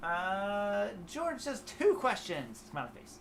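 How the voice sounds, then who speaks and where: A high-pitched man's voice in an American accent, with very wide pitch swings. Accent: slight southern twang at times. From Ohio, US Midwest. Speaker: guitar teacher and YouTuber. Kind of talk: live stream chat with viewers. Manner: casual, halting with fillers.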